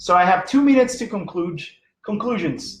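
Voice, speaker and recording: A man with a Portuguese accent and lively intonation. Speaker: teacher and presenter on language learning. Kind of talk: live online lecture. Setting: live stream. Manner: halting, many fillers.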